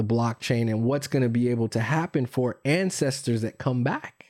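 A man with a Californian accent talks at a fairly quick pace and medium pitch. The sound is dry and close, without echo. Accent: general American, California. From US West Coast, San Francisco Bay Area. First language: Spanish. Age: 40s. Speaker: entrepreneur. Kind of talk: casual chat.

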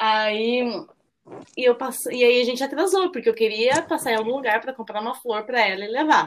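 Fairly quick speech from a woman, high in pitch, her pitch varying in an ordinary way. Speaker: nonprofit worker, mother. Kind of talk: casual chat.

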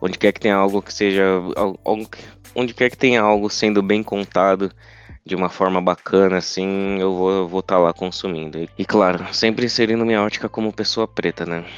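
A man with a plain, everyday voice and a fairly low pitch talks at a fairly quick pace with fairly even intonation. The sound is dry and close with no echo, the loudness swings widely, and the background is quiet. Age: 20s. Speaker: podcast co-host, journalism student. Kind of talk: casual chat.

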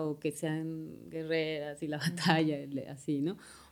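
In a very clean recording with a silent background, a woman with a central Mexican accent speaks at a very slow pace. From Mexico City. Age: 40s. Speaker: breast cancer survivor. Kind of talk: testimony.

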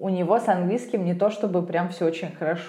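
A woman speaks with audible room echo. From Russia. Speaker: podcast host, lawyer, English teacher. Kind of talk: casual chat. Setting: call.

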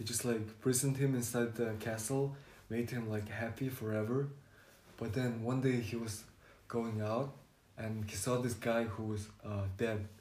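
Audible room echo surrounds a somewhat breathy voice speaking in a monotone, flat intonation. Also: man, medium pitch for a man, moderate pace. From Mongolia. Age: 20s. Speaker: podcast guest. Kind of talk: casual chat. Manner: halting.

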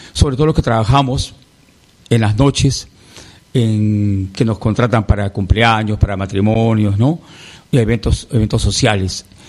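The speaker has an unremarkable speaking voice. Delivery is fairly slow with fairly even intonation. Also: man, fairly low pitch for a man. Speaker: singer. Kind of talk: interview.

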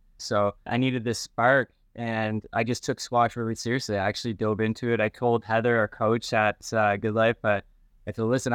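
The voice is a flat monotone, recorded dry and close with no echo against a quiet background. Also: man. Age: 40s. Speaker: medical aesthetics provider. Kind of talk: casual chat.

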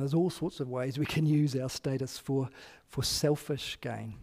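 In a New Zealand accent, a man speaks with a dark, mellow tone and fairly high pitch. His intonation is fairly even, and the recording is very clean against a silent background. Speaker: pastor. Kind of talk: sermon. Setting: church.

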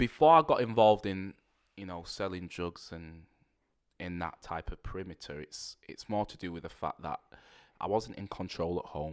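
The recording is very clean with a silent background as a man talks in a very deep, low pitch with ordinary variation. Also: moderate pace. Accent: Mancunian. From Manchester, England (Rusholme). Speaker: youth worker. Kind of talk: podcast interview.

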